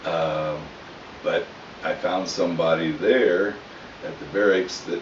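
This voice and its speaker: The speech comes very slowly, with audible room echo and noticeable background noise. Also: man. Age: 60s. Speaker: storyteller, army veteran. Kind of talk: family storytelling. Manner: casual, halting.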